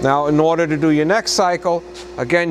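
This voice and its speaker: Light background noise sits behind a man with a high pitch. He talks at a fairly quick pace. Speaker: machine demonstrator. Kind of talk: tutorial. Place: workshop. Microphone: camera far.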